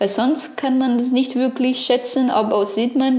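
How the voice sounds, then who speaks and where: A woman's high-pitched voice with a non-native accent, fairly slow and fairly even in intonation, over noticeable background noise. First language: not German (speaking German). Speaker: podcast co-host, sailing student. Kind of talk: casual chat. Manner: halting.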